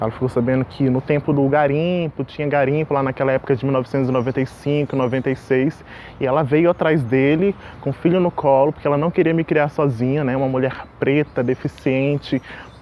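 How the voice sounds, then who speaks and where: Amid noticeable background noise, a man with a fairly high pitch speaks at a fairly quick pace with fairly even intonation. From Porto Velho, Rondônia, Brazil. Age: 20s. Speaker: singer, actor and voice teacher. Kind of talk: interview monologue.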